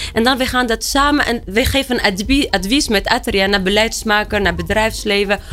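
Through noticeable background noise, a woman speaks at a fairly high pitch and moderate pace with ordinary pitch variation, hardly any pauses and very even loudness. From Tunisia. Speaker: director of a women's emancipation institute, activist. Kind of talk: panel discussion. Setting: studio.

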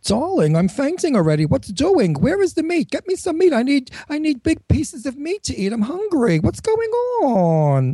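The voice is a put-on character act. Its pitch is high. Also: moderate pace. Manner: dramatic, demanding.

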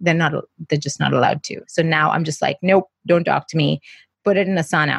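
A woman's fairly low, somewhat breathy voice moves at a fairly quick pace with fairly even intonation, the sound dry and close with no echo against a quiet background. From India, Mumbai. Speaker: entrepreneur and media coach. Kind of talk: interview. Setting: office.

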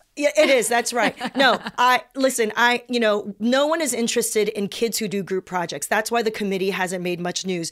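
A woman with an American accent talks in an ordinary speaking voice at a fairly high pitch. She keeps a moderate pace with hardly any pauses and ordinary pitch variation. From California, South Bay. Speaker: comedian and writer. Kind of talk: casual chat.

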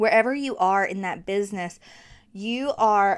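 In a very clean recording with a silent background, a woman with a strong Southern US accent speaks in an animated tone at a fairly high pitch. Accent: thick Southern. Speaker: podcast host, marketing coach. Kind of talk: casual solo podcast talk. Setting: home studio with USB mic.

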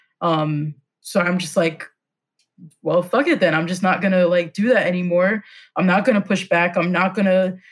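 In a very clean recording with a silent background, a woman talks at a moderate pace with fairly even intonation and a somewhat breathy voice. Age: 20s. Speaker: nonprofit employee. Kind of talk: counseling session conversation.

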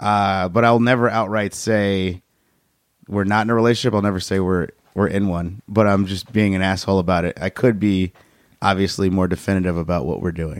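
A man's plain, everyday voice with an American accent, fairly low in pitch, at a fairly quick pace with fairly even intonation, on a very clean recording with a silent background. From Chicago. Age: 30s. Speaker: stand-up comedian. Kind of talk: casual chat.

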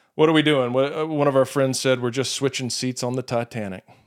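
A man with a plain, everyday voice speaks fairly quickly, at a medium pitch with fairly even intonation. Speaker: podcast host, addiction counselor. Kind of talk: casual interview. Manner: laughs often.

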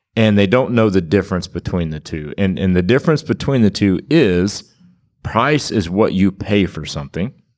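A man with an ordinary speaking voice, fairly low in pitch, with lively intonation, a moderate pace and an American accent, on a very clean recording with a silent background. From Kansas. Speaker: auto repair shop owner. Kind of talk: casual chat. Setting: recorded live at a conference.

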